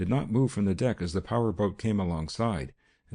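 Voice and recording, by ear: A natural voice reading aloud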